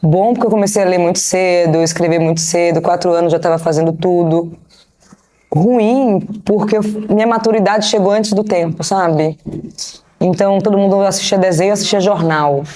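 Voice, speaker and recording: A woman's medium-pitched voice with a dark, mellow tone and a Bahian accent, at a moderate pace with fairly even intonation, in audible room echo. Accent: Bahian (northeastern Brazilian), marked. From Brazil, Bahia (Salvador). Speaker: business strategist and investor. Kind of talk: interview. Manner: casual.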